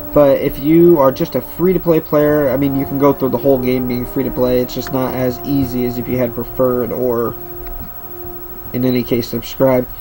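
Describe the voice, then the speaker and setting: Over music in the background, a man speaks at a fairly quick pace and medium pitch with fairly even intonation. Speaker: gaming YouTuber. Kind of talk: game walkthrough commentary. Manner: stuttery, hesitant with fillers.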